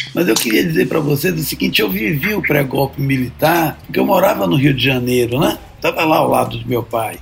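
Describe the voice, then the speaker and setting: Medium-pitched male speech, fairly quick and lively in intonation, with noticeable background noise. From Brazil, Bahia. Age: 70s. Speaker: son of a historical political figure. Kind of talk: interview.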